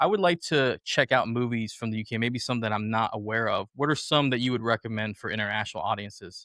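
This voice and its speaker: Words come out very fast in a bright, sharp, animated tone, with a dry, close sound and no echo. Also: man. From United States. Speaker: podcast host. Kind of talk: casual chat. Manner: halting.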